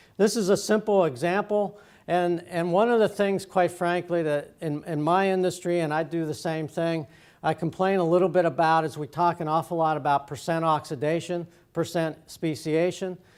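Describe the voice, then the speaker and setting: The recording is very clean, with a silent background. Intonation stays fairly even. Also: man, high pitch for a man, moderate pace. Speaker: industry expert presenter. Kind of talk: conference presentation. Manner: halting.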